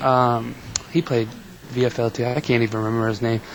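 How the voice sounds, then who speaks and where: Over noticeable background noise, a man with an American accent speaks at a fairly quick pace, his medium pitch held in monotone, flat intonation. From Virginia. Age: 20s. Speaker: gamer, college student. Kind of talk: casual interview.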